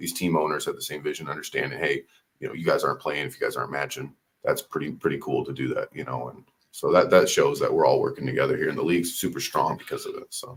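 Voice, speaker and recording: A man talking very fast, with big swings in loudness. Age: 20s. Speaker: sports league commissioner. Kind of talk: casual interview. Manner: halting, many fillers.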